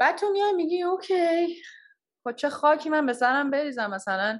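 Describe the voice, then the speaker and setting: A woman talks at a fairly quick pace, her pitch swinging very widely. The background is quiet. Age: 20s. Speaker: product design engineer. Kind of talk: casual interview.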